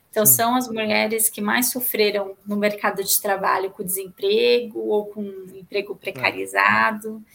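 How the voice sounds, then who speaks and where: With a plain, everyday voice, a woman talks at a moderate pace and medium pitch, using ordinary pitch variation, hardly any pauses and big swings in loudness. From São Paulo, Brazil (East Zone). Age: 30s. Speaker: public policy manager. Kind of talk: interview.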